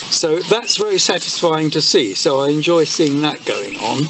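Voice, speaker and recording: Someone with an English accent talks at a fairly slow pace over noticeable background noise. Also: man. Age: old. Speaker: churchyard volunteer. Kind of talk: interview. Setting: outdoors. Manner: halting. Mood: calm, contented. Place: garden.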